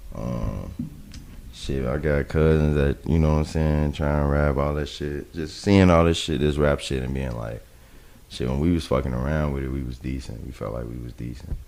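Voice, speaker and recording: A man with a very deep, low voice speaks at a moderate pace with fairly even intonation over noticeable background noise. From South Side of Chicago. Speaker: rapper. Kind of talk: casual chat. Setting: studio.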